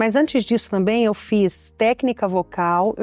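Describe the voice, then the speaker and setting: Against a quiet background, a woman speaks at a moderate pace with ordinary pitch variation in a dry, close sound with no echo. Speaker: journalist and TV presenter. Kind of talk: interview.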